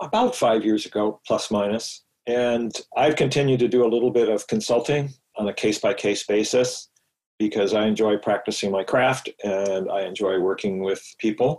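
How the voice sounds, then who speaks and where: An ordinary speaking voice from a man at medium pitch, moderate pace and fairly even intonation. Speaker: engineer and long-distance hiker. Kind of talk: podcast interview.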